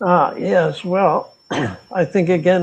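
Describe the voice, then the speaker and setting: Noticeable background noise sits under the voice of a man as he talks. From United States. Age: 80s+. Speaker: retiree. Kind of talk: interview answer. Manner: slow, hesitant.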